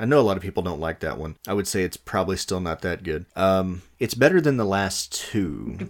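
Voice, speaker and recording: Very deep, low male voice with lively intonation, moving at a fairly quick pace with hardly any pauses. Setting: home recording with two mics.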